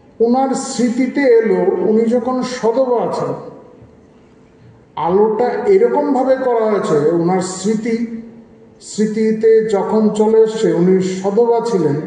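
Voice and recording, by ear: The voice has a dark, mellow tone and ordinary pitch variation, moving at a fairly slow pace amid strong room echo. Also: man, high pitch for a man.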